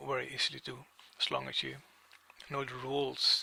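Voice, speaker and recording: A man speaks at a moderate pace. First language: not English. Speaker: music software tutor. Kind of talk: tutorial. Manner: halting.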